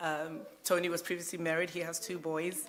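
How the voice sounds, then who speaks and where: Audible room echo surrounds a woman's voice. She speaks at a moderate pace with a very deep, low pitch. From Zimbabwe, raised from age nine in North London. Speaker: church member sharing marriage experience. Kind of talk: personal testimony at a church youth talk.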